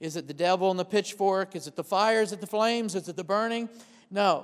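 At a fairly quick pace, a man talks at a high pitch with ordinary pitch variation. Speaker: pastor. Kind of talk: sermon. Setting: church with congregation. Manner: fast; conversational, not dramatic.

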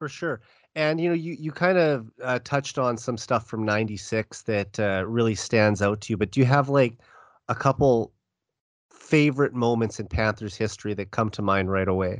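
At a moderate pace, a man with a Canadian accent and an unremarkable speaking voice talks at a medium pitch with ordinary pitch variation. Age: 30s. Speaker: sports podcast host. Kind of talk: casual chat.

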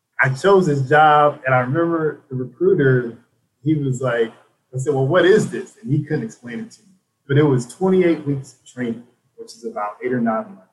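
Somewhat breathy and fairly high in pitch, this man speaks with an American accent. His intonation is lively. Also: moderate pace, big swings in loudness. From South Carolina upstate, Spartanburg. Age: 30s. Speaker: Army veteran and nonprofit co-founder. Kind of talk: casual interview.

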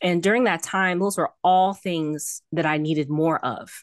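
Over a quiet background, a woman with an American accent speaks at a fairly slow pace. Her pitch is fairly low, with ordinary variation. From Miami, Florida. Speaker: author. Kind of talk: interview. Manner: halting.

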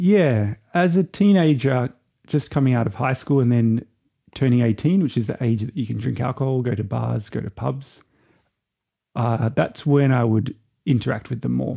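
A man with an Australian accent and a dark, mellow tone speaks at a moderate pace with lively intonation. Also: medium pitch for a man. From Australia, Byron Bay. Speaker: traveller. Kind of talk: casual chat.

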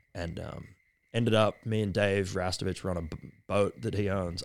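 On a very clean recording with a silent background, a man with an Australian accent speaks fairly quickly in a very deep, low voice. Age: 30s. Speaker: surfboard shaper. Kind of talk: casual interview chat. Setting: at his home.

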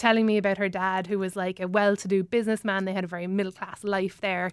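Against noticeable background noise, a woman talks at a very fast pace in a medium pitch with monotone, flat intonation. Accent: Irish. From Ireland. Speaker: comedian. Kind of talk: casual chat. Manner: fast talker.

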